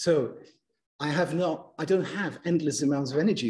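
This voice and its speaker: At a fairly quick pace, a man with a fairly high pitch and a dark, mellow tone speaks with ordinary pitch variation. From Germany. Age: 60s. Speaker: university lecturer. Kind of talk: lecture.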